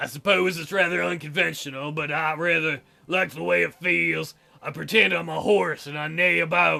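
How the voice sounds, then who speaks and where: A man puts on a raspy character voice at a fairly high pitch. He talks at a moderate pace. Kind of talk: comic visual-novel voice acting. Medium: solo performance. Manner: hesitant, soft-spoken, courtly phrasing.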